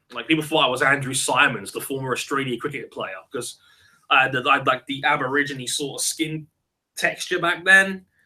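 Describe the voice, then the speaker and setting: This man has a bright, sharp tone and a fairly high pitch with ordinary pitch variation. He speaks at a fairly quick pace. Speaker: podcast host. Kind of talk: live stream chat with viewers. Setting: live online video hangout. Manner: casual, halting with many fillers.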